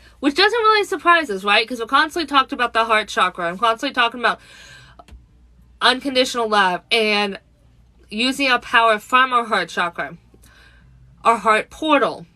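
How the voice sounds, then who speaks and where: Speaking at a moderate pace with long, frequent pauses, a woman with an American accent has a fairly high pitch. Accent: Virginia accent slipping out. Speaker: spiritual channeler livestreamer. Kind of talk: live stream chat with channeled messages. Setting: live stream on social media app. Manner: casual, tripping over words.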